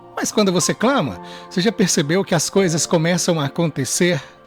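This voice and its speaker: Music plays in the background. A man speaks at a high pitch and a fairly slow pace. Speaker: radio announcer. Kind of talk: devotional reflection, radio sermon.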